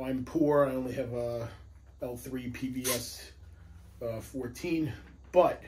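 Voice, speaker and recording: A man speaks with an American accent in a somewhat breathy voice. Audible room echo surrounds the recording. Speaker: police firearms instructor, gear reviewer. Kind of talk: product review video. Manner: casual, conversational.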